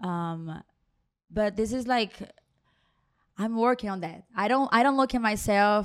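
In a very clean recording with a silent background, a woman with a Brazilian accent speaks at a fairly slow pace and a fairly high pitch, with ordinary pitch variation and long, frequent pauses. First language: Portuguese. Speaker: hairstylist. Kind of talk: interview.

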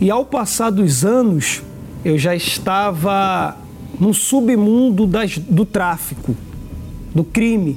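Ordinary pitch variation from a man, set against noticeable background noise. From Brazil, Recife, Pernambuco. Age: 20s. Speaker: former drug trafficker. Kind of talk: testimony.

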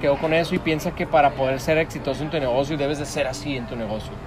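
Talking at a very fast pace, a man with a fairly high pitch keeps his intonation fairly even over noticeable background noise. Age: 30s. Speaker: interviewee. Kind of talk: casual interview.

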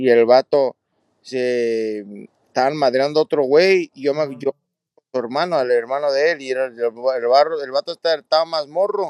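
Recorded dry and close with no echo, a man with an unremarkable speaking voice speaks at a fairly high pitch and a moderate pace. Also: ordinary pitch variation. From California, Santa Barbara, Mexican family. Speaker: retired professional boxer. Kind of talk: casual chat.

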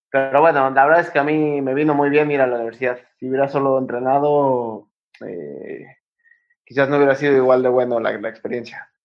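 Fairly even intonation runs through speech delivered at a fairly quick pace. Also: man, medium pitch for a man. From Mexico, Cuernavaca. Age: 20s. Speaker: professional footballer. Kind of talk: interview. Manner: halting, many repetitions.

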